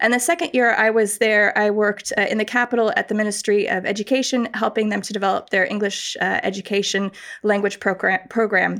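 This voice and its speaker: Fairly high in pitch, a woman with an American accent talks at a fairly quick pace with hardly any pauses and ordinary pitch variation. Hers is an unremarkable speaking voice. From North America (US, studied in Buffalo, New York). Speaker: professor. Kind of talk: interview.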